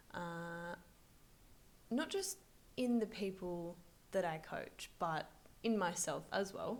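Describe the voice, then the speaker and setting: Speaking quietly at a medium pitch, a woman moves at a fairly slow pace with ordinary pitch variation. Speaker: finance coach and video creator. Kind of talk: vlog-style talk to camera. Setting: busy office. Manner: quiet, voice kept down.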